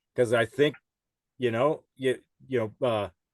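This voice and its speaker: A man with a Western US accent talks at a medium pitch with ordinary pitch variation. The sound is dry and close, with no echo. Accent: American (Western US). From Utah, US (Salt Lake City). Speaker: podcast guest. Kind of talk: casual chat.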